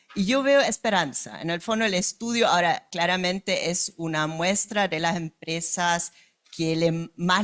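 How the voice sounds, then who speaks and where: Someone speaks at a moderate pace with a German accent. The sound is dry and close, with no echo. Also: woman. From Germany. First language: German (speaking Spanish). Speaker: company director. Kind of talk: panel discussion. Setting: event with live audience.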